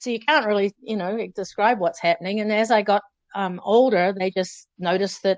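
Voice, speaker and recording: A woman with a New Zealand accent speaks at a moderate pace and medium pitch, the sound dry and close with no echo against a quiet background. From New Zealand, Auckland. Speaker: former professional distance runner. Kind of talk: interview storytelling.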